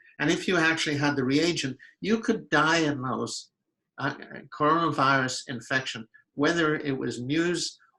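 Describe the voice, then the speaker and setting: A man talks at a moderate pace, his tone bright and sharp. His pitch varies by an ordinary amount. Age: 80s+. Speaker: physician and researcher. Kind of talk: interview. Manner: halting.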